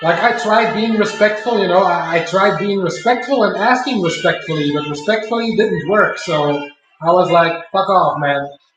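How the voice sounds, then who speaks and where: Heard with audible room echo, a man speaks at a moderate pace with a high pitch and ordinary pitch variation. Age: 30s. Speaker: streamer. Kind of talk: casual chat. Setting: home live stream while cooking. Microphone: laptop stream, poor quality.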